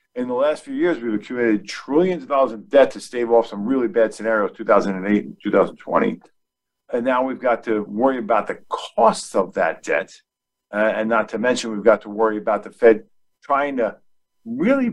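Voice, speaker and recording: This is an unremarkable speaking voice delivered at a moderate pace. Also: man. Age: 50s. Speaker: asset management CEO and market strategist. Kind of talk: casual chat.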